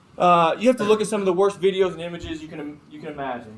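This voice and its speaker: Noticeable noise fills the background as a man speaks very fast. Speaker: FBI agent giving a guest talk. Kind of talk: lecture.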